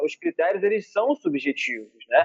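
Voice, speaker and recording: A man talks with lively intonation, keeping his delivery at a moderate speed. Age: 30s. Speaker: lawyer. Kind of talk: interview.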